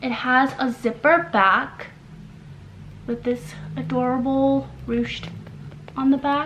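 Over light background noise, a woman talks at a very slow pace with a fairly high pitch. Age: 20s. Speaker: lifestyle YouTuber and fashion writer; lifestyle YouTuber. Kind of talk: try-on haul review. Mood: cheerful, friendly. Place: home room.

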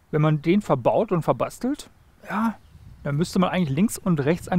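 Recorded dry with no echo, a man speaks with a high pitch and ordinary pitch variation. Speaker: presenter. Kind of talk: interview and commentary. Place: open country. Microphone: headset.

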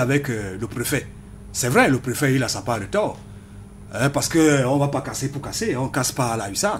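With a normal speaking voice, a man talks at a moderate pace in a fairly high pitch with lively intonation over light background noise. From Cameroon. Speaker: political party communication member. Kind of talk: radio panel debate. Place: studio. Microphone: studio mic.

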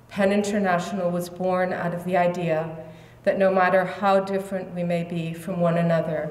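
A woman talks in a flat, monotone way, and room echo is audible. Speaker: speaker. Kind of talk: formal speech. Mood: earnest, reflective. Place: hall. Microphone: podium.

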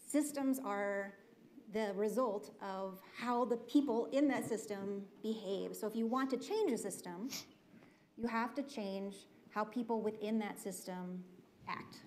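A woman's ordinary speaking voice, fairly high-pitched and fairly slow, with fairly even intonation over light background noise. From Minnesota. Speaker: foundation leader; panelist. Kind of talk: panel discussion. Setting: stage with audience. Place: stage. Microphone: lapel.

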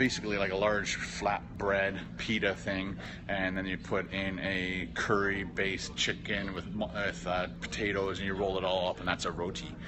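Noticeable background noise sits behind the speech. The pace is moderate, with ordinary pitch variation. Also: man, very deep, low pitch for a man. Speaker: vlogger live streaming. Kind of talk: casual live stream chat reading comments. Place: hall. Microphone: phone near.

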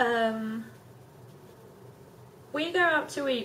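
Over light background noise, a woman speaks in a high voice with ordinary pitch variation. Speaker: vlogger asking tag questions. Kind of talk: casual talk to camera. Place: home room. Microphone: phone near.

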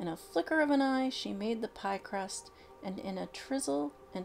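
The speaker reads in an unforced reading voice.

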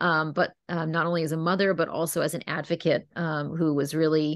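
A woman speaks with a very deep, low pitch at a fairly quick pace. Her intonation is monotone and flat, in a dry sound with no echo. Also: quiet background. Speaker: webinar host. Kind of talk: webinar introduction. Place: home room. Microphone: video call.

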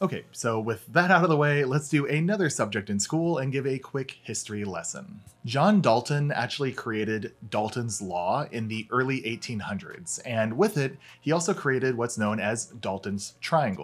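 Faint music plays in the background as a man talks at a moderate pace with hardly any pauses. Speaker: scuba instructor. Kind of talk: tutorial. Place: home room.

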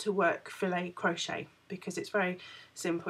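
This woman's voice is fairly low in pitch, delivered at a moderate pace. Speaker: crochet vlogger. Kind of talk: casual vlog chat. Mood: cheerful, laughing. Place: home room. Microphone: phone near.

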